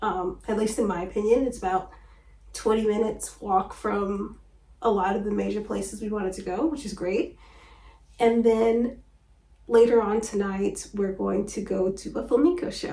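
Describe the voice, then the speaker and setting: Soft-spoken and somewhat breathy, a woman talks at a moderate pace in a fairly high pitch with ordinary pitch variation and a dark, mellow tone, with audible room echo. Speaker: travel vlogger. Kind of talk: casual vlog talk to camera.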